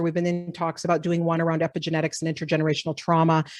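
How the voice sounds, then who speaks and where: Over a quiet background, a woman speaks with an American accent at a very fast pace. Her pitch is fairly low. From US Upper Midwest (Minnesota and South Dakota). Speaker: professor. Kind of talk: lecture.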